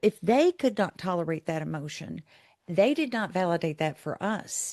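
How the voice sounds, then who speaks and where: A woman speaks in a normal speaking voice, fairly low in pitch and at a moderate pace. The sound is dry and close with no echo, over a quiet background. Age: 60s. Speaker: professor. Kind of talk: casual chat.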